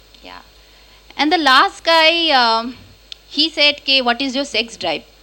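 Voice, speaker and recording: A woman's raised, projected voice, high in pitch, with lively intonation. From Kolkata, India. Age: 30s. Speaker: stand-up comedian. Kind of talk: stand-up. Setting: stage with audience.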